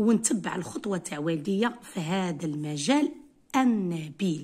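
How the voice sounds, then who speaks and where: Very slowly and somewhat breathily, someone speaks with an Algerian accent and very wide pitch swings against a quiet background. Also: woman. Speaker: English teacher. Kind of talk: tutorial. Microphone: phone near.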